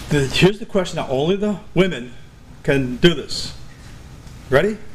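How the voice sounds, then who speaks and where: Noticeable background noise sits under the speech. The pace is moderate and the intonation lively. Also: man, high pitch for a man. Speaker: musician and videographer. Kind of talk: talk to a live audience. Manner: holds back volume, cannot yell.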